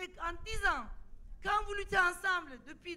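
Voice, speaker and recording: A raised, projected voice with a bright, sharp tone comes at a fairly slow pace. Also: woman. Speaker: sociologist and activist. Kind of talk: panel debate. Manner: halting, many repetitions.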